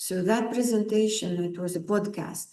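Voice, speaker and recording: At a fairly slow pace, a woman of medium pitch speaks with a dark, mellow tone and fairly even intonation. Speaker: lecturer on Vaastu Shastra. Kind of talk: lecture. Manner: loud.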